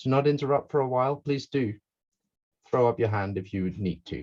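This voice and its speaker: The background is quiet behind this voice. A man talks, and his pitch varies in an ordinary way. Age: 30s. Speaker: game designer. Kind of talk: online presentation.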